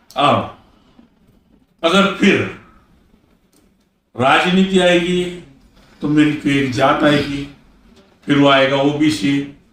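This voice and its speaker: A fairly high-pitched man with ordinary pitch variation and very even loudness, long, frequent pauses, and audible room echo. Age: 70s. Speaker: former member of parliament, politician. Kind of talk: interview.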